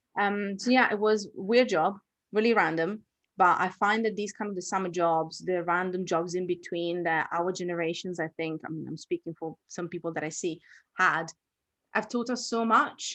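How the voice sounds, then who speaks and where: Woman in an Italian accent at medium pitch, with ordinary pitch variation and a moderate pace, over a quiet background. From Italy. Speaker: author and entrepreneur. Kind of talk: online workshop interview.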